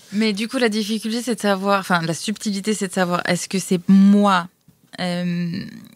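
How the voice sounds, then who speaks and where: A woman with a normal speaking voice talks at medium pitch and a moderate pace with fairly even intonation. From France. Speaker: photographer and traveler. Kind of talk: casual chat.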